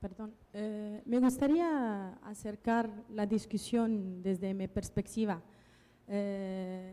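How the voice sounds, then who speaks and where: At a very slow pace, a woman with a medium pitch and a dark, mellow tone speaks with ordinary pitch variation. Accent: non-native. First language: not Spanish (speaking Spanish). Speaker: researcher, panelist. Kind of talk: panel discussion. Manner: halting, many fillers.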